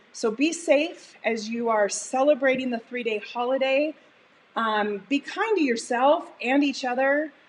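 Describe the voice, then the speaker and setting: A woman's high pitch, with ordinary pitch variation, comes through noticeable background noise. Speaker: cooking show host. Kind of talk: live cooking stream wrap-up. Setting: home studio kitchen. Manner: animated.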